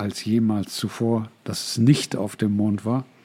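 Here a man speaks in a dark, mellow tone. His delivery is fairly slow, with monotone, flat intonation. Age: 60s. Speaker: podcast host and life coach. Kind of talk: solo podcast monologue.

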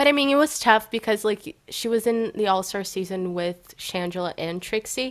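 In a very clean recording with a silent background, a woman with an unremarkable speaking voice talks at a moderate pace with hardly any pauses, her fairly high pitch showing ordinary variation. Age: 20s. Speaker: podcast co-host. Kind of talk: casual chat.

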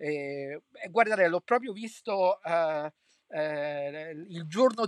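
Against a quiet background, a man speaks at a fairly high pitch with ordinary pitch variation, the sound dry and close with no echo. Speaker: podcaster and political commentator. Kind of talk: solo commentary monologue. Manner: hesitant, many filler sounds.

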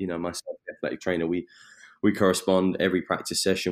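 Delivered at a very fast pace in a monotone, flat intonation, the speech comes through on a very clean recording with a silent background. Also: man. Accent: southern English. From southeast England, Eastbourne. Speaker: strength and conditioning coach. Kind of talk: interview.

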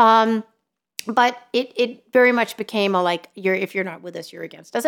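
With an American accent, a woman speaks at a fairly quick pace in a normal speaking voice. Her intonation stays fairly even. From New York City. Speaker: journalist. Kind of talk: casual interview conversation. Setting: in-person studio recording.

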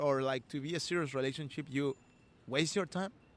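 A man speaks in a Peruvian accent. His pace is fairly quick. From Peru, Lima (Callao). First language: Spanish. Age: 30s. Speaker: street musician. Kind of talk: casual interview. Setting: outdoors in city square. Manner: halting.

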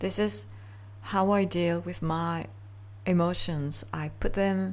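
A woman's very deep, low voice with very wide pitch swings at a very slow pace. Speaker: podcast host and artist. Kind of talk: solo reflective monologue. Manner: halting, many fillers.

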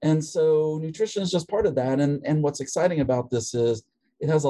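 A man's dark, mellow tone in an American accent. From US, West Virginia. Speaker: veterinary professor and researcher. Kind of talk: interview.

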